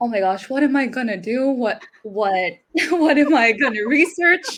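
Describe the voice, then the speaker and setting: A woman with a high voice speaks at a moderate pace, her intonation lively. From Philippines. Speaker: student broadcaster. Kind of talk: interview. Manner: animated.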